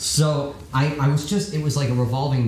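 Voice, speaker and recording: A man talks at moderate speed while room echo is audible and background noise is noticeable. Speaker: rock band vocalist. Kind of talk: casual chat. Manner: animated.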